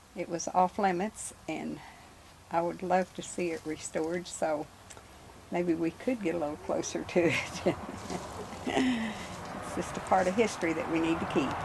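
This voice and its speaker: Long, frequent pauses break up speech with an American accent over noticeable background noise. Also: fairly slow pace. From Missouri Ozarks. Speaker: local resident. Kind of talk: interview.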